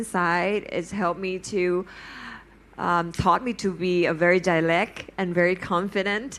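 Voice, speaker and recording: A woman with a Thai accent and a medium pitch speaks at a fairly slow pace. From Thailand. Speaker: fashion celebrity on a panel. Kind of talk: panel talk. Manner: halting.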